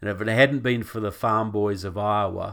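With a New Zealand accent, a man of fairly low pitch speaks in a monotone, flat intonation at a moderate pace, captured on a very clean recording with a silent background. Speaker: author and activist guest. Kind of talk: interview on politics and faith.

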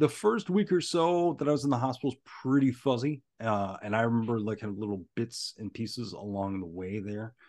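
Against a quiet background, a man with an ordinary speaking voice talks at medium pitch and a fairly quick pace, with lively intonation, big swings in loudness and hardly any pauses. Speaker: stand-up comedian. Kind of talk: casual interview chat.

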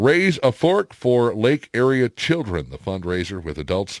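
The recording is very clean and the background silent. The voice belongs to a man. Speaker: radio host. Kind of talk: casual chat. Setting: studio.

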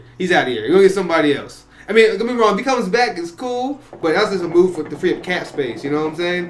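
A high-pitched man speaks at a very fast pace with lively intonation and hardly any pauses. Noticeable background noise sits behind him. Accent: New York. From New York. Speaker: guest. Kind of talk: casual chat.

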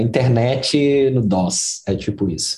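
A man's voice comes through somewhat breathy, with a dark, mellow tone. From Belo Horizonte, Brazil. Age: 40s. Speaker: product design manager. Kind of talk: interview conversation.

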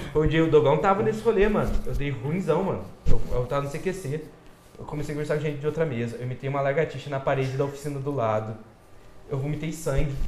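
The speech is very fast, with ordinary pitch variation. Noticeable background noise and audible room echo surround it. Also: man, fairly high pitch for a man. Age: 20s. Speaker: podcast guest. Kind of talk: casual chat.

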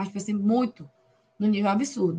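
A woman's somewhat breathy voice, medium in pitch, moves at a moderate pace. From Brazil, Pará. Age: 20s. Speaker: occupational therapy student. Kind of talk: casual interview.

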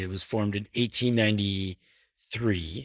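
This is a man talking with a Canadian accent. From Canada, Toronto. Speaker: football supporter. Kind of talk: casual chat. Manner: halting.

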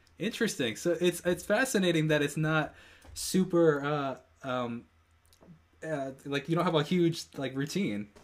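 On a very clean recording with a silent background, a man speaks at a fairly slow pace with lively intonation and a fairly high pitch. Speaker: interviewer. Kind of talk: casual interview. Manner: upbeat, enthusiastic.

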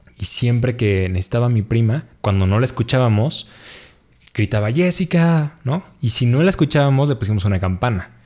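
Fairly quick, somewhat breathy speech in a Mexican accent, with lively intonation and very even loudness. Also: man, medium pitch for a man. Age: 30s. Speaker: office worker. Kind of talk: casual chat.

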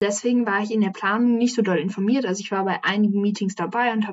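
This woman has a fairly high pitch. Hers is an unremarkable speaking voice. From Hessen, Frankfurt am Main. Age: young. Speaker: climate activist and environmental volunteer. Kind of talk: casual interview.

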